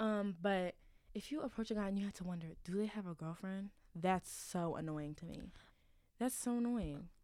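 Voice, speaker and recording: This woman has a medium pitch and an animated tone. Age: 20s. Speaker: college student podcast co-host. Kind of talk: casual chat. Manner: animated, frequent laughter.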